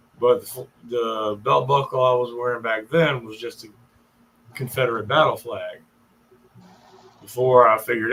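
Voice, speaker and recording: A man with a Southern accent speaks at a moderate pace and a medium pitch. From US South, Richmond, Virginia. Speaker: live streamer. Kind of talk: casual storytelling on livestream. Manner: animated.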